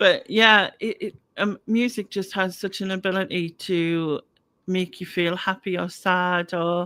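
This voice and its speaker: With a bright, sharp tone and fairly even intonation, a woman speaks at medium pitch and a fairly slow pace. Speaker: YouTube channel host. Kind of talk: casual chat. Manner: halting, many fillers and repeats.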